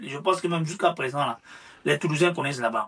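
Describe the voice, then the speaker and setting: A man speaks with an Ivorian accent. His voice sits high in pitch. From Ivory Coast. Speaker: social media influencer. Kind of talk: interview. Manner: hesitant, repetitive.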